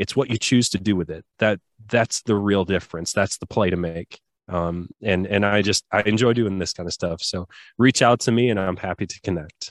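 In a dry, close recording with no echo and a quiet background, a man with a Midwestern American accent speaks at a moderate pace with a fairly low pitch and fairly even intonation. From US Midwest, rural southwest Michigan. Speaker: Paralympic athlete and personal trainer. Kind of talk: casual interview. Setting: remote call.

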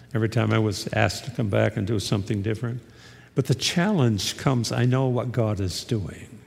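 Fairly quick speech from a man, backed by music. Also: medium pitch for a man, ordinary pitch variation. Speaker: pastor. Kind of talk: sermon. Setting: church.

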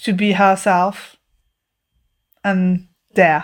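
The delivery is monotone, with flat intonation and a French accent. It's a very clean recording over a silent background. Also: woman. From France. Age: 30s. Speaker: podcast guest. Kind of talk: casual chat. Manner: halting.

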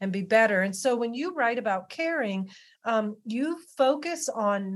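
A woman with an American accent, fairly high in pitch, with very wide pitch swings, a fairly slow pace and a very clean recording with a silent background. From Western Maryland. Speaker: podcast host. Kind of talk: interview conversation.

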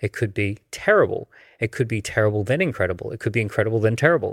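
Speaking in a normal speaking voice at a medium pitch with ordinary pitch variation, a man is heard in a very clean recording with a silent background and a dry, close sound with no echo. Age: 40s. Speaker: entrepreneur and author. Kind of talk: interview. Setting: in Dubai.

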